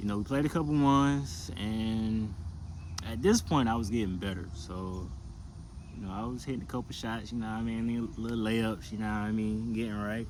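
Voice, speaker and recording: A man talks in a relaxed tone at a moderate pace, his pitch fairly low with ordinary variation. Audible room echo surrounds the voice. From US South, South Carolina. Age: 20s. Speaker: basketball player. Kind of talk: casual personal storytelling to camera. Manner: relaxed, casual with many fillers.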